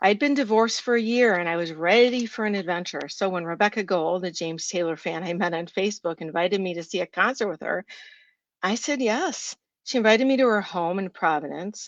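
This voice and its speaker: Speaking at a fairly quick pace, a woman uses an unremarkable speaking voice at medium pitch with lively intonation. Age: 60s. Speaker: writer and journalist. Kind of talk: reading aloud.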